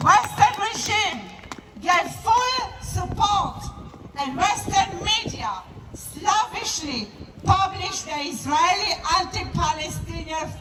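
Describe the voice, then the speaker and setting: An extremely high, raised and projected woman's voice, very slow with long, frequent pauses and lively intonation, over noticeable background noise. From Israel. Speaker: activist. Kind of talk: protest speech. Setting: outdoors.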